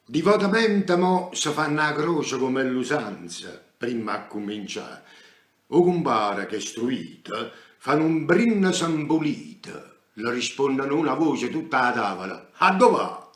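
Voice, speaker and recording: A man's fairly high voice in a Neapolitan accent, fairly slow, with very wide pitch swings. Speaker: stage actor. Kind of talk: poetry reading. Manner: theatrical, emotional; nostalgic, melancholic.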